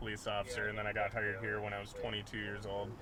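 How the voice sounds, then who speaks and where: Noticeable background noise sits behind a man speaking at a fairly low pitch in an Upper Midwest accent. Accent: Upper Midwest American. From Duluth, Minnesota. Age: 20s. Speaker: police officer. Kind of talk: street interview.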